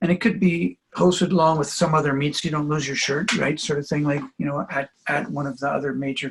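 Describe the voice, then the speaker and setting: A somewhat breathy, fairly high-pitched man's voice with a Canadian accent, very fast pace and ordinary pitch variation. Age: 70s. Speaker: trampoline coach. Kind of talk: interview.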